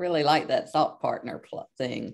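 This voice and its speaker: A woman speaks with a Southern US accent at a fairly low pitch. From US South, South Mississippi. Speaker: clinical social worker, presenter. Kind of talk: webinar presentation. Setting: online webinar.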